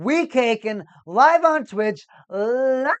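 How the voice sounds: A female-sounding, put-on character voice is used here. It is high-pitched and shrill.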